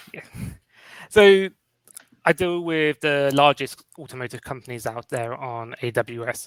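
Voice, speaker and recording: Speaking with a London accent, a man with a fairly high pitch goes at a fairly slow pace, with long, frequent pauses and big swings in loudness. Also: ordinary pitch variation, dry, close sound with no echo. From London, England. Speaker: cloud cost consultant. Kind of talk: interview.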